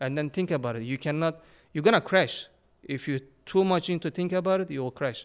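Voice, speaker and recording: A man with a Turkish accent talks at a very fast pace and a fairly high pitch, with ordinary pitch variation, on a very clean recording with a silent background. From Turkey. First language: Turkish or Kurdish. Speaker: phone repair shop owner and content creator. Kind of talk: casual chat.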